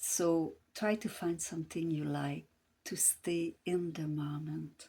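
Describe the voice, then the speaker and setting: Someone speaks at a fairly slow pace with a Quebec accent in a very clean recording with a silent background. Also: woman. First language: French. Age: 60s. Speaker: grief support coach. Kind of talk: casual advice talk to camera. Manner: hesitant, many fillers.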